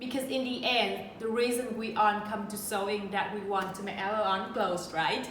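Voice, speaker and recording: A woman with a Vietnamese accent speaks in a fairly high pitch with hardly any pauses. Her intonation is fairly even, and audible room echo surrounds her. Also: moderate pace. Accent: Vietnamese accent, noticeable. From central Vietnam. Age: 30s. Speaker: sewing YouTuber. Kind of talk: casual Q&A vlog.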